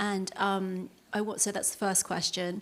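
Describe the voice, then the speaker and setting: A woman speaks with a British accent at a medium pitch. Her pace is moderate. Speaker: audience member. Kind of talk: audience question. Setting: live workshop with audience. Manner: halting, many fillers.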